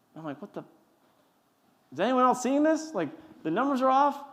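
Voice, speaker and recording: The speaker talks at a very fast pace with lively intonation. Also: man. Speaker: company founder and CEO. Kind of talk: Q&A talk at university event. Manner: stutters; mumbling.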